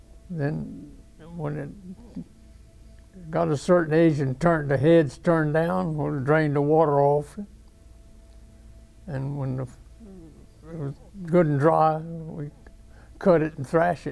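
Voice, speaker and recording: A very slow delivery with a Louisiana accent, long and frequent pauses, fairly even intonation and big swings in loudness. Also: man, fairly high pitch for a man. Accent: Southern US (Louisiana). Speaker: war veteran. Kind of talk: interview answer. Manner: casual, halting.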